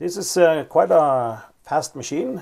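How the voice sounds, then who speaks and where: A man talks at a fairly slow pace, with ordinary pitch variation. The background is quiet. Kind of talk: tutorial commentary. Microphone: phone near.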